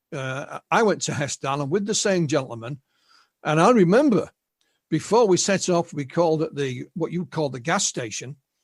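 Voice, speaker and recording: A man with an English accent, fairly high pitch and lively intonation at a moderate pace, over a quiet background. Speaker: UFO researcher and author. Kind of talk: interview.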